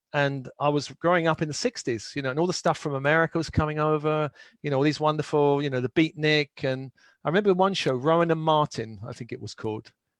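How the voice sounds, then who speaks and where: In a London accent, a man speaks very fast with a fairly high pitch and ordinary pitch variation, the sound dry and close with no echo against a quiet background. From London, England. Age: 60s. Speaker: spiritual teacher and author. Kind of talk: interview.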